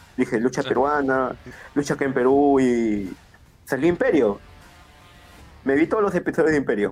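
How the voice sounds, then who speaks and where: The pace is moderate. The intonation is lively. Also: man. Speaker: professional wrestler. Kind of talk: casual chat.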